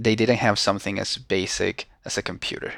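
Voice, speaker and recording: On a very clean recording with a silent background, a man speaks with a Venezuelan accent. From Venezuela, Caracas. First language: Spanish. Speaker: social entrepreneur. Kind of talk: casual interview.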